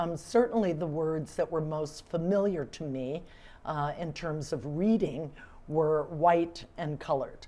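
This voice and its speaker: Using an American accent, a woman speaks fairly slowly in a very deep, low pitch with a dark, mellow tone and ordinary pitch variation. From US South, Atlanta. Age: 60s. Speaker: civic leader, award recipient. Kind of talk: interview.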